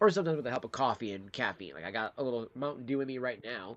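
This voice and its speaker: In an American accent, a man talks at a very fast pace and medium pitch with a quiet background behind him. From Detroit, Michigan. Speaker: livestreamer. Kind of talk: casual livestream chat.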